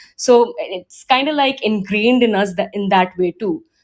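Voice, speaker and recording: Her intonation lively, a woman talks at a moderate speed. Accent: Indian. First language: Hindi. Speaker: discussion moderator. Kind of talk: online panel discussion. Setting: audio chat room. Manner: hesitant, many fillers and repeats.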